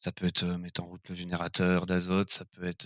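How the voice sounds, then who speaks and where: A man with a very deep, low pitch and a bright, sharp tone speaks at a moderate pace in a very clean recording with a silent background and a dry, close sound with no echo. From France, Burgundy (Chassagne area). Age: 20s. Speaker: winery equipment operator. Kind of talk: interview. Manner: hesitant, many fillers.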